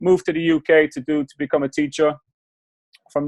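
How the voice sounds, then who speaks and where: A very fast-talking man with an Irish accent, fairly high-pitched for a man, in a dry, close sound with no echo. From Ireland. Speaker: basketball coach. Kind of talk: podcast interview.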